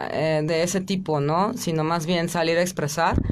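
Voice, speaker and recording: The pace is fairly slow. There is noticeable background noise throughout. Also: woman. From Mexico, Chiapas. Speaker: rock singer; interviewee. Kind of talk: radio interview. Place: studio. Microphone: studio mic.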